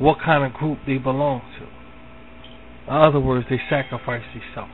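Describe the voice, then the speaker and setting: With an American accent and a fairly high pitch, a man talks over noticeable background noise. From Philadelphia, US. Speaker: online talk show host. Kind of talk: spiritual monologue. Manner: repetitive, conversational.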